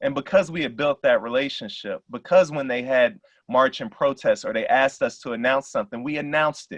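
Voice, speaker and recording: A man with an American accent talks in a normal speaking voice, fairly high in pitch with ordinary pitch variation. The sound is dry and close, with no echo. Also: fairly quick pace, hardly any pauses. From South Side of Chicago. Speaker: pastor. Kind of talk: Q&A discussion. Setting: video call.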